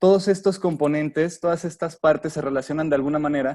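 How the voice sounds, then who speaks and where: A man at a fairly high pitch and fairly quick pace, with ordinary pitch variation. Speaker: industrial designer giving a talk. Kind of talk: webinar lecture. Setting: online webinar. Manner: fast.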